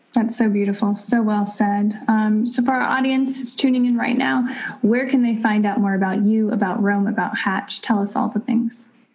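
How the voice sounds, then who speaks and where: A woman with a fairly high pitch speaks at a moderate pace and with fairly even intonation amid noticeable background noise. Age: 30s. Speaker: podcast host. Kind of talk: casual interview chat.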